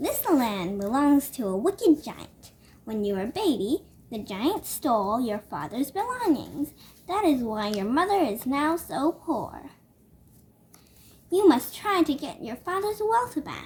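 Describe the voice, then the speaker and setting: This is a put-on character voice delivered at a fairly slow pace. The pitch swings very widely, and the loudness swings a lot too. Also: woman, high pitch for a woman. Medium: read story. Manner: calm, knowing.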